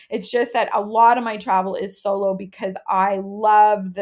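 A woman with a medium pitch and an ordinary speaking voice talks at a fairly slow pace with fairly even intonation, in a very clean recording with a silent background. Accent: Canadian. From Canada, Halifax. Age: 30s. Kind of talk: casual chat.

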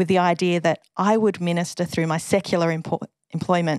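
Recorded very cleanly with a silent background and a dry, close sound with no echo, a woman speaks at a moderate pace in an Australian accent. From Western Australia, Perth. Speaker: officer and former school chaplain. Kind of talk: interview testimony.

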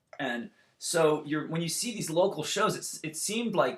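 A man speaks in an animated tone with a Californian accent. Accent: Californian American. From US West Coast, Santa Barbara, California. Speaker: punk rock musician. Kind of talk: casual chat. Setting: video call.

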